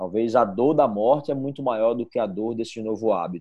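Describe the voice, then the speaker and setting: Here a man talks at a moderate pace, his medium pitch showing ordinary variation. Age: 30s. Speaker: engineer and management consultant. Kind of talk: casual interview. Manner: halting, many repetitions.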